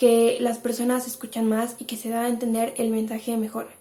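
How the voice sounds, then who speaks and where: A woman's voice sits fairly high in pitch and has a dark, mellow tone. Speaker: lifestyle YouTuber. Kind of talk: advice monologue to camera. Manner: fast.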